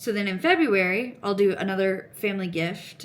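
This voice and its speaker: A woman mumbling at a moderate pace, with audible room echo. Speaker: crochet and knitting vlogger. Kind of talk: casual chat.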